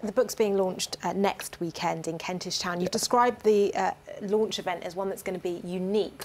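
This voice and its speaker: Using an unremarkable speaking voice, a woman speaks at a fairly quick pace with a medium pitch and fairly even intonation. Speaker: TV news presenter. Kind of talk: TV news interview.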